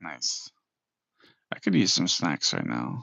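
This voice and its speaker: A man talks with an American accent. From US West Coast, Orange County. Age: 20s. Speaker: livestreamer. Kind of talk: casual live stream chat, reading viewer comments.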